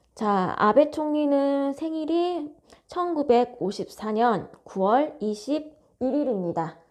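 A woman speaks at a high pitch and a very slow pace. Her pitch swings very widely. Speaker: fortune teller. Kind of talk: solo video monologue. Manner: casual, many fillers.

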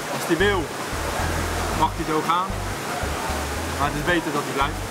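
Loud noise sits in the background. The speaking pace is moderate. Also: man. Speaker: farmer interviewee. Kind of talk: interview answer. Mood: relaxed, joking.

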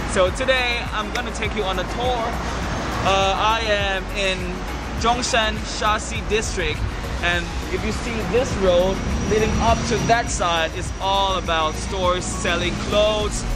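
A man's voice with long, frequent pauses and music in the background. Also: fairly slow pace. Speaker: vlogger. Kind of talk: casual vlog chat. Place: street.

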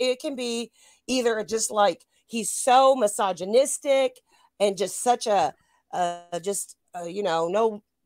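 A woman's slightly mellow voice at medium pitch, with ordinary pitch variation, a slow pace, and a dry, close sound with no echo

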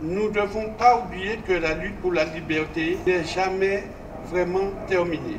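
A man with a high pitch speaks at a very slow pace against noticeable background noise. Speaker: speaker. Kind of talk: formal commemorative speech. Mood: solemn, measured. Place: street. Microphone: podium.

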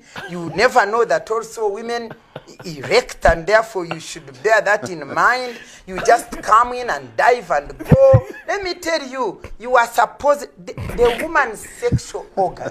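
A woman at a fairly slow pace, with big swings in loudness and noticeable background noise. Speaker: guest. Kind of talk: talk show debate. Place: home room.

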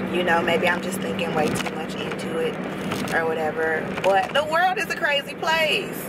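Loud background noise surrounds a woman speaking at a fairly slow pace in a dry sound with no echo. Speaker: vlogger. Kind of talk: casual vlog chat. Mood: opinionated, reflective. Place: car. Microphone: phone near.

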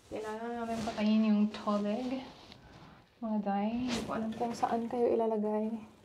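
A woman talks in a fairly high pitch at a moderate pace. Her intonation is monotone, flat, over light background noise. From Philippines, Bacolod City; Philippines. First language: Filipino (Tagalog/Hiligaynon). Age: 20s. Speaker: lifestyle vlogger. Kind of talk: casual unboxing vlog. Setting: at home bathroom, on camera. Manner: chatty, code-switching. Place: bathroom. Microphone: phone near.

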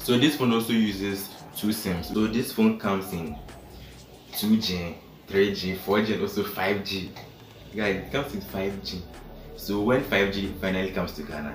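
Faint music plays behind a man with a fairly low pitch and ordinary pitch variation, and the room echo is audible. He talks at a fairly slow pace with long, frequent pauses. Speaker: tech vlogger. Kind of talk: casual review vlog. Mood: cheerful, smiling. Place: home room. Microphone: phone near.

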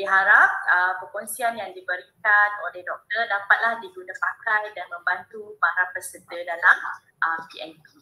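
Bright, sharp tone with a Malaysian accent, fairly even intonation and a fairly slow pace. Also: woman. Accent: Malaysian Malay. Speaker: webinar moderator. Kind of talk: formal event hosting. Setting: video call. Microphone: video call.

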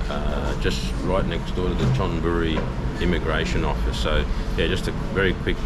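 A man speaks over loud background noise. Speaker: vlogger. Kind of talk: casual vlog chat. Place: cafe. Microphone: phone near.

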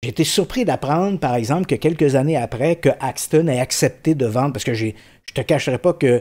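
Against a quiet background, a man talks at a medium pitch with ordinary pitch variation. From Quebec, Saint-Jean-sur-Richelieu region; Quebec. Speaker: paranormal investigator and journalist; journalist. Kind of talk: casual interview. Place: studio. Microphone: studio mic.

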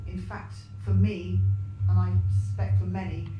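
Noticeable background noise and audible room echo accompany speech at a fairly slow pace. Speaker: panelist. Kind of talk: panel discussion answer. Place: hall.

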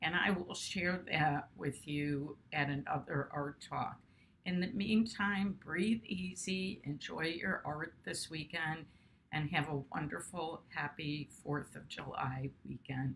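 With light background noise behind her, a woman speaks at a very slow pace in a very deep, low pitch with ordinary pitch variation. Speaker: art teacher and video host. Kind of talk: guided meditation; casual educational talk. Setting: studio, video. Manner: slow, calm, soothing. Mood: calm, soothing. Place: home room. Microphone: webcam.

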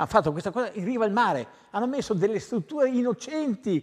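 A man's high-pitched voice with very wide pitch swings over a quiet background. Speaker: tennis coach. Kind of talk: TV studio interview. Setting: TV studio. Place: studio.

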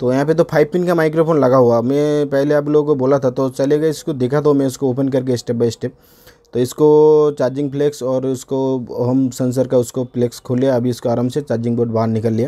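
A man speaks at a fairly quick pace in a dark, mellow tone, his pitch barely moving. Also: medium pitch for a man.

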